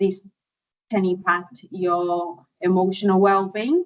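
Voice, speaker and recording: This woman has a non-native accent. She talks at a fairly slow pace. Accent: foreign. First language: not English. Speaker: podiatrist. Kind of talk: webinar presentation. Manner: hesitant, many fillers.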